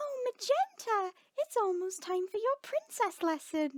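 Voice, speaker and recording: In a put-on character voice, a female-sounding voice squeaks at an extremely high pitch, raised and projected, at a moderate pace. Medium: read story. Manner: earnest, gentle, proper.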